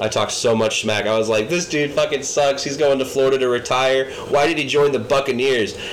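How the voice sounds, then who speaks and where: A man's fairly high voice, fairly quick with hardly any pauses and fairly even intonation, over noticeable background noise. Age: 20s. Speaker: podcast co-host. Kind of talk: casual chat.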